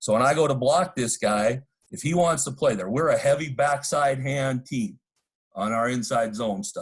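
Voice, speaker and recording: The man's voice is somewhat breathy and sits at a medium pitch. He keeps a moderate pace with ordinary pitch variation. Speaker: football coach. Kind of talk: coaching clinic presentation.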